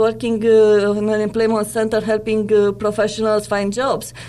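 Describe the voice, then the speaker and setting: Noticeable background noise runs under the recording. A woman with a fairly high voice talks at a moderate pace. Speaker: career coach and author. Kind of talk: interview.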